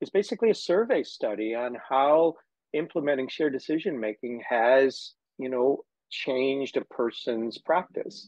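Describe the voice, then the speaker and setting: A man with a normal speaking voice and fairly high pitch talks at a moderate pace with lively intonation. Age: 60s. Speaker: physical therapist and educator. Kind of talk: casual interview chat.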